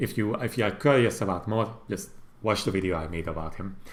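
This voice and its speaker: A man with a Hungarian accent speaks at a fairly quick pace. His voice is somewhat breathy, with lively intonation. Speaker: gaming YouTuber. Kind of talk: livestream commentary. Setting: livestream. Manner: casual, halting.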